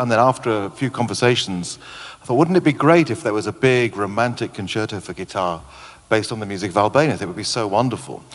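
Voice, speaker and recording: With ordinary pitch variation, this man races along at a very fast pace. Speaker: composer. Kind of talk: pre-concert interview. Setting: stage with audience. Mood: relaxed, enthusiastic. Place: hall. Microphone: handheld.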